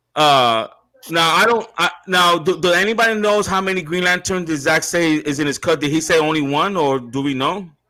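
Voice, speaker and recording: A man's high-pitched voice over music in the background. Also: ordinary pitch variation, moderate pace. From US Northeast, Brooklyn, New York. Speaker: online show host. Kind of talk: live-stream panel chat. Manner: halting.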